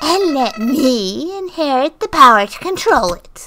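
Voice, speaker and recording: Woman in a put-on character voice at a fairly slow pace. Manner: menacing, mocking.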